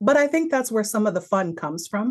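Using an unremarkable speaking voice, a woman talks fairly quickly at medium pitch with lively intonation. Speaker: film podcast host. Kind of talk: casual chat.

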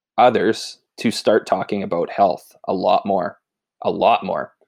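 Very slow speech in a Canadian accent, on a very clean recording with a silent background. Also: man. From rural Saskatchewan, Canada. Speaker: fitness coach. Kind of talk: casual interview.

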